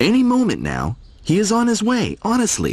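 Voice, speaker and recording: A fairly high pitch defines this put-on character voice. The pace is moderate. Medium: read story.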